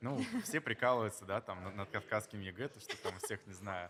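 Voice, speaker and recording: A man is talking. His pitch is fairly low. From Dagestan, Russia (Makhachkala). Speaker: event guest manager and society columnist. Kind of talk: interview. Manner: halting, with repetitions.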